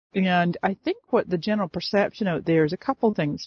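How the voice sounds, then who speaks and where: A fairly quick delivery with an American accent. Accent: slight Scottish-tinged North American. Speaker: Facebook expert and coach. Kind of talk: interview. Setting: phone call.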